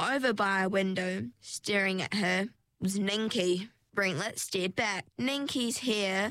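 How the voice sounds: The setting has a quiet background. The speaker uses a natural reading voice.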